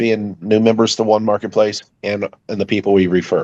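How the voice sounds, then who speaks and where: Here is a man with a plain, everyday voice at a medium pitch. He talks at a moderate pace. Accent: American. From Ohio, US. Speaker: network marketing member. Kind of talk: Q&A on a group call.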